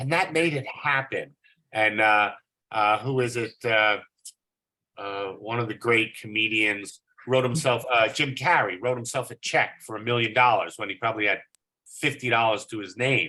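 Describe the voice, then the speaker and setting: Bright and sharp in tone, a man's voice keeps a moderate pace with ordinary pitch variation. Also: medium pitch for a man. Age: 60s. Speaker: artist. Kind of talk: group discussion on art.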